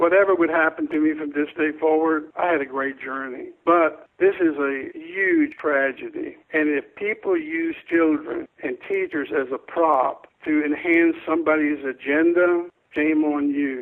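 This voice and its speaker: A man speaks in an American accent at a fairly slow pace, with hardly any pauses. His pitch is fairly high and his intonation fairly even. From Florida. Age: 60s. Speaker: school safety expert. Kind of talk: interview. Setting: phone call. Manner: emphatic.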